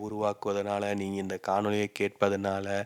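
The sound of a man's voice is dry and close, with no echo. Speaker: YouTuber. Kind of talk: reflective monologue. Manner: unscripted, off the cuff.

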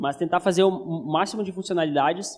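A man with a high voice talks at a fairly quick pace. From southern Brazil (Passo Fundo, Rio Grande do Sul). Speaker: conference speaker, web developer and entrepreneur. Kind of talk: conference talk. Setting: stage with audience. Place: hall. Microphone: handheld.

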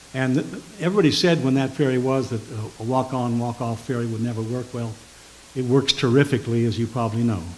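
A man talks at a very fast pace in a medium pitch with ordinary pitch variation. Light background noise can be heard. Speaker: nonprofit board member. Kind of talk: public presentation. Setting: town council meeting. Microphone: podium.

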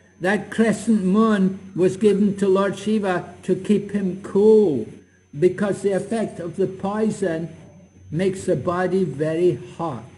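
A man's slow, high-pitched voice with a dark, mellow tone, few pauses, fairly even intonation and audible room echo

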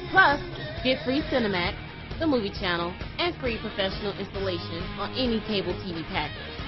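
Music plays in the background as a woman talks at a fairly quick pace. Her pitch swings very widely. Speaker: voice actor. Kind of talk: TV commercial read. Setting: studio.

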